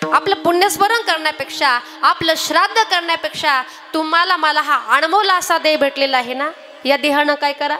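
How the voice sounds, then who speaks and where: Over background music, a woman uses a raised, projected voice at an extremely high pitch with ordinary pitch variation. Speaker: kirtan performer. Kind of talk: devotional sermon.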